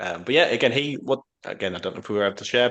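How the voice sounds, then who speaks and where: This speaker has a British accent and talks at a very fast pace. The intonation is lively. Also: man. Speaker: podcast host. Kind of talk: casual chat.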